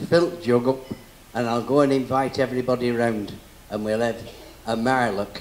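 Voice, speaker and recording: Over noticeable background noise, a man talks at a moderate pace and medium pitch with fairly even intonation and long, frequent pauses. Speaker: folk entertainer and dance caller. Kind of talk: live talk to an audience. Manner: chatty, humorous.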